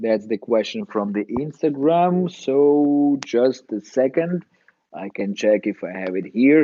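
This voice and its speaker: A man speaks at a very slow pace in a medium pitch, his intonation lively. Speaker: dentist and dental educator. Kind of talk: live Q&A stream. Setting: live online stream. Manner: hesitant, many fillers.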